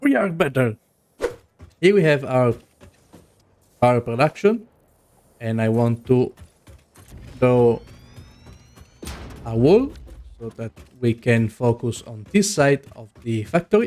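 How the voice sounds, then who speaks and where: Over music in the background, a man with a non-native accent speaks at a fairly slow pace in a medium pitch, with lively intonation, big swings in loudness and long, frequent pauses. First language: not English. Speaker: gaming video creator. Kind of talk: gameplay commentary. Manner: casual.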